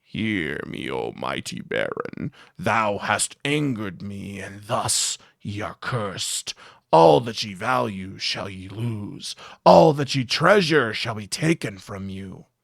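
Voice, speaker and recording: A man speaks in a put-on character voice. His pitch sits fairly low and the sound is raspy. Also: fairly slow pace. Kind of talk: archaic, formal. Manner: menacing, cursing.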